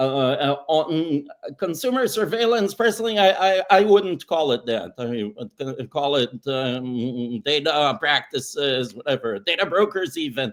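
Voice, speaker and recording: Speaking at a fairly slow pace with hardly any pauses, a man with a fairly high pitch moves through very wide pitch swings. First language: not English. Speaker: privacy lawyer. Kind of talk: panel discussion.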